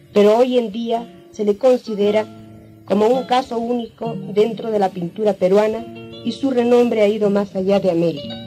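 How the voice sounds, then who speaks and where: Over music in the background, a woman speaks at a fairly high pitch with fairly even intonation. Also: moderate pace. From Peru. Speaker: painter. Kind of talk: documentary narration.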